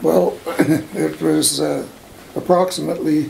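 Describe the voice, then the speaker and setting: Amid noticeable background noise, a man speaks very slowly with a western Canadian accent. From Alberta, Canada. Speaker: oral history interviewee. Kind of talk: oral history interview.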